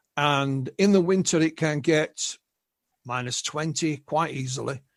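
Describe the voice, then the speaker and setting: In an English accent, a man with a fairly high pitch speaks at a fairly slow pace with fairly even intonation. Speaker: UFO researcher and author. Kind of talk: interview.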